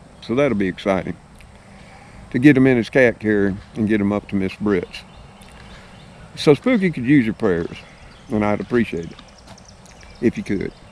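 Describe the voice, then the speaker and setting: With an Alabama accent, a man speaks at a fairly low pitch and a moderate pace, with ordinary pitch variation and long, frequent pauses. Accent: Southern US (Alabama). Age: 60s. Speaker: YouTube vlogger. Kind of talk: casual vlog talk to viewers. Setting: outdoors on his property in the evening.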